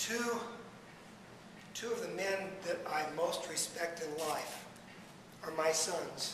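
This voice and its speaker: Amid noticeable background noise and audible room echo, a man with a high pitch talks very slowly with long, frequent pauses and ordinary pitch variation. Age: 70s. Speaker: salesman and guest speaker. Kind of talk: speech to a fellowship meeting. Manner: moves around while speaking. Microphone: speaking without a microphone.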